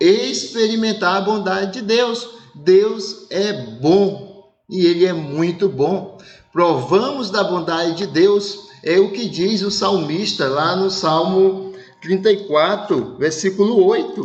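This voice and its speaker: Against noticeable background noise and audible room echo, a man speaks at a very slow pace. His pitch is high, with ordinary pitch variation. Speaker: pastor. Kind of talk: sermon. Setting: online church service broadcast.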